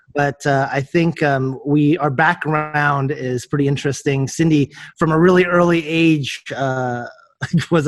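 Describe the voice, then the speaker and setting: A man with an American accent, fairly high pitch and flat, monotone intonation at a moderate pace. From California, US. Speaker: realtor and entrepreneur. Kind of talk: interview. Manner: halting, many fillers.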